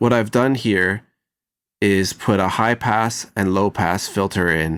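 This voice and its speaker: In a very clean recording with a silent background, a man talks at a fairly low pitch with fairly even intonation. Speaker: mixing engineer teaching audio production. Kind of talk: tutorial. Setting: recording studio. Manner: slow.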